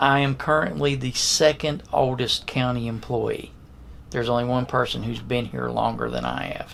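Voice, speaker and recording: Noticeable background noise runs beneath a man speaking at a moderate pace. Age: 60s. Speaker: county security director. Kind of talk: interview.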